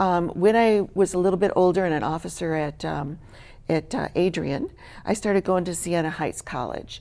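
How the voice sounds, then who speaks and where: With a Midwestern American accent, a woman speaks at a moderate pace in a fairly low pitch, her dark, mellow tone showing ordinary pitch variation on a very clean recording with a silent background. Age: 60s. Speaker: charity worker and teacher. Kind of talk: interview testimony.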